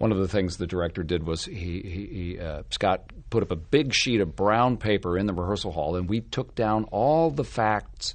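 Against a quiet background, a man speaks at fairly low pitch with lively intonation. His is a normal speaking voice. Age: 50s. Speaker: stage actor. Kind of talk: casual chat.

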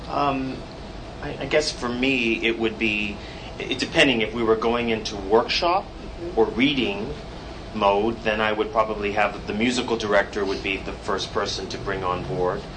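A man at medium pitch talks at a moderate pace with ordinary pitch variation. Audible room echo and noticeable background noise are present. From Canada, Toronto. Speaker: theatre director. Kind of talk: panel discussion. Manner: halting.

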